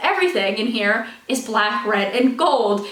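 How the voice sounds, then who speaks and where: A woman's raised, projected voice, with audible room echo and noticeable background noise. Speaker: author and video creator. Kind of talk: casual vlog talk to camera. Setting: home office. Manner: fast; energetic.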